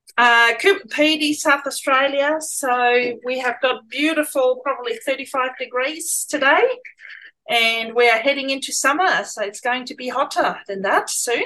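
At a fairly slow pace, a woman speaks in a raised, projected voice. Her pitch is high with ordinary variation, and her tone is bright and sharp. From Germany. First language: German. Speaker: small-town resident and business owner. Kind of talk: interview. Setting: video call.

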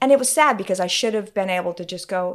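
On a very clean recording with a silent background, a woman with an American accent speaks with very wide pitch swings. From Utah. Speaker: former church member, host's mother. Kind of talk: casual chat.

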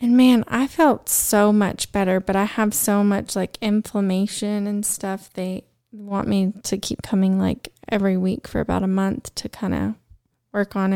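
Her dark, mellow tone at medium pitch carries a woman's American accent at a moderate pace with fairly even intonation, the sound dry and close with no echo. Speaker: podcast co-host. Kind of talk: casual chat.

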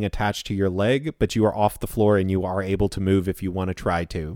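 An ordinary speaking voice at a moderate pace comes through on a very clean recording with a silent background and a dry, close sound with no echo. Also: man. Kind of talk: tabletop RPG narration, dramatic scene-setting to players. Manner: vivid, suspenseful, present-tense description addressed to players.

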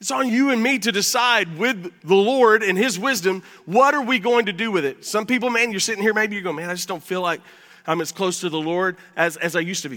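A man speaks in a raised, projected voice that is high in pitch, with ordinary pitch variation. His pace is fairly quick. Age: 50s. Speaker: pastor. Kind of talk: sermon. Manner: animated.

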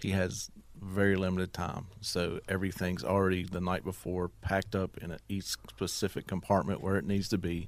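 Over a very clean recording with a silent background, a man with a very deep, low voice speaks at a moderate pace with fairly even intonation and hardly any pauses. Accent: Appalachian Virginia. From southwest Virginia, US. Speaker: business owner, Marine veteran. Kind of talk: interview.

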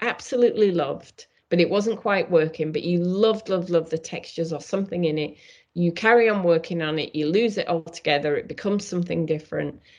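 A woman talks at a fairly quick pace with a fairly low pitch. Her pitch varies in an ordinary way. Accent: British. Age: 50s. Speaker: painter and art teacher. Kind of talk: interview.

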